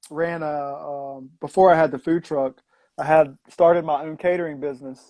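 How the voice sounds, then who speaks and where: In a Southwest Virginia accent, a man with a fairly high, dark and mellow voice speaks at a moderate pace with monotone, flat intonation. His loudness swings widely over a quiet background. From US South, Southwest Virginia. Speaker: former food truck owner, raw vegan. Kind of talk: casual interview. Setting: live stream video call.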